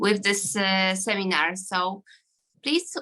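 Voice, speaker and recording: With a Polish accent, a woman speaks in a bright, sharp tone. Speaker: gynecologist. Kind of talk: self-introduction. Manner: halting.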